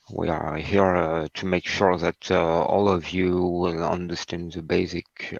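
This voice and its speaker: A man speaks fairly slowly in a very deep, low voice with a flat monotone. The sound is dry and close, with no echo. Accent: non-native. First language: not English. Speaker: HPC instructor. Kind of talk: lecture. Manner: halting, many fillers.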